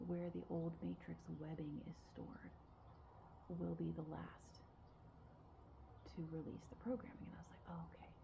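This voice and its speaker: Soft-spoken, a woman talks at a moderate pace with long, frequent pauses, big swings in loudness, and audible room echo. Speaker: spiritual guide. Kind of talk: spiritual talk to camera. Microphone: quiet recording.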